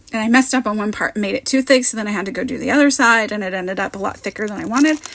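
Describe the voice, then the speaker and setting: With noticeable background noise behind her, a woman speaks at a very fast pace in a fairly high pitch with ordinary pitch variation. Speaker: card maker, crafting content creator. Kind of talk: voiceover tutorial. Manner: casual, chatty.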